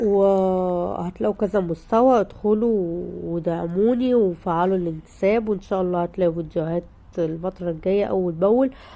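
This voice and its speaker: A woman's fairly slow speech with an Egyptian accent and a dark, mellow tone. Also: medium pitch for a woman, ordinary pitch variation, hardly any pauses. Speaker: home lifestyle vlogger. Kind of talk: vlog to viewers. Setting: at home. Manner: animated.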